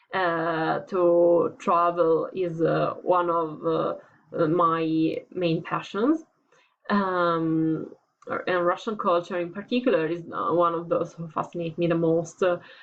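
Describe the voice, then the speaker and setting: Spoken with an Italian accent at a very slow pace, the voice keeps a fairly even intonation. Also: woman, fairly low pitch for a woman. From Italy. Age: 20s. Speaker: student applying for teaching internship. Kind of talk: application video monologue. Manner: halting, many fillers.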